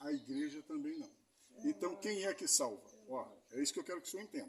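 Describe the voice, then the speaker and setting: A man talks at a fairly quick pace in a high voice that swings very widely in pitch. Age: 50s. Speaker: street evangelist. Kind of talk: evangelistic conversation.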